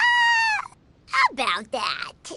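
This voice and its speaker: This put-on character voice is squeaky. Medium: machinima. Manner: friendly, upbeat.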